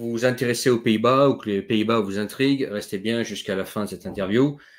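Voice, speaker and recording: A man talks at a moderate pace. His voice sits at medium pitch, with fairly even intonation. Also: hardly any pauses. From Netherlands. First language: Dutch (speaking French). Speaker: YouTube interviewer. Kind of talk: interview. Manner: halting.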